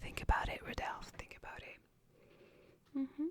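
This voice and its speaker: This is a woman. Her speech comes as a whisper. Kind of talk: ASMR roleplay job interview. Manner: soft-spoken, slow.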